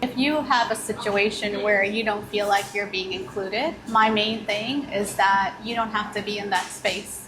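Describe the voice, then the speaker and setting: A woman speaks with an American accent and fairly even intonation. Noticeable background noise can be heard. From New York City. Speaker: business owner. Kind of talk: interview. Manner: conversational.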